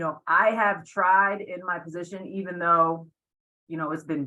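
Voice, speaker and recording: The voice is loud. The pace is moderate. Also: woman. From Puerto Rico. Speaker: athletic director. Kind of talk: webinar panel discussion.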